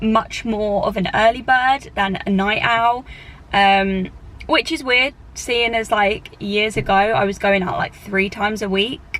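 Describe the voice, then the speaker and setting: Very slowly, a woman with a British accent talks in a fairly high voice. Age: 20s. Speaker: flight attendant and vlogger. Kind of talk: casual Q&A vlog. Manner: casual with many fillers.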